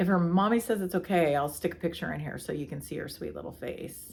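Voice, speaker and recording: Vocal fry runs through this woman's voice, which has ordinary pitch variation. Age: 60s. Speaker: yarn dyer and shop owner. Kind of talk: casual podcast chat.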